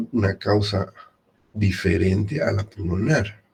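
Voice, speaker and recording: Quiet and marked by vocal fry, a man speaks with a fairly low pitch. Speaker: medical lecturer. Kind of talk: lecture.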